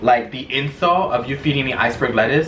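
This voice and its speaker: An animated tone with ordinary pitch variation, amid noticeable background noise and audible room echo. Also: man. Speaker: vlogger. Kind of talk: casual vlog chat.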